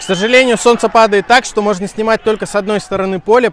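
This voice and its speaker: A man speaks over noticeable background noise. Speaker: football travel vlogger. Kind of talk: vlog commentary. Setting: outdoors at stadium.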